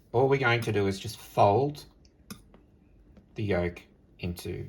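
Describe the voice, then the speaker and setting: Speaking with an Australian accent at a fairly slow pace, a man sounds somewhat breathy, with ordinary pitch variation, big swings in loudness and long, frequent pauses. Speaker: home cook. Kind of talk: cooking tutorial.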